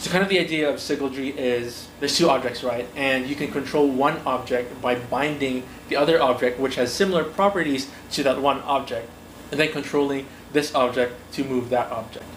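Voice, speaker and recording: There is noticeable background noise and audible room echo as a man talks at a fairly high pitch. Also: fairly quick pace. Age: 20s. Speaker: book vlogger. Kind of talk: casual chat. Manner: animated.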